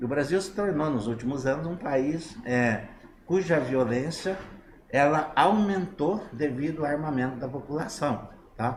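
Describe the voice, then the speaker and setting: A man's fairly high voice with lively intonation at a fairly slow pace, over audible room echo and noticeable background noise. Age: 60s. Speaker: interviewee on online talk show. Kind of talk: political opinion in online talk show. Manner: halting with many fillers.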